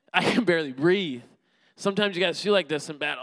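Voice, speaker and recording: A man projects his voice loudly with a bright, sharp tone. The sound is dry and close, with no echo. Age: 30s. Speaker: preacher. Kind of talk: sermon. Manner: animated.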